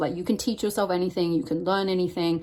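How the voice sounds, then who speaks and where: The recording is very clean, with a silent background. On it, a woman speaks at a fairly low pitch. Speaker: tarot reader. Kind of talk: tarot card reading. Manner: fast.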